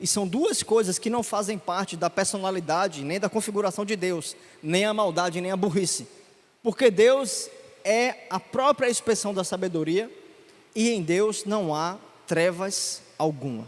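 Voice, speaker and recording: A man speaks at a fairly slow pace. His pitch sits high. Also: ordinary pitch variation. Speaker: preacher. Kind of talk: sermon.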